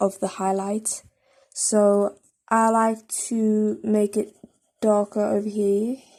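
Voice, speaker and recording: A woman at medium pitch, dark and mellow in tone, on a very clean recording with a silent background. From South Africa. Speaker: drawing tutorial creator. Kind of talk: tutorial.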